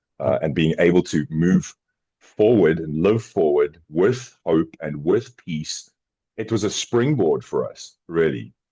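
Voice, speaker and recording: A man with a South African accent speaks at a fairly slow pace. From South Africa, Johannesburg. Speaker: podcast co-host, former addict. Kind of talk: casual chat. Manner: halting, repeats words.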